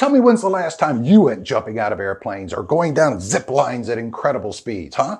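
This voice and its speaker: Over a quiet background, a somewhat breathy man speaks at a medium pitch and a fairly quick pace, with very wide pitch swings and hardly any pauses. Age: old. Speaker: voice over narrator. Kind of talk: comedic scripted intro to camera.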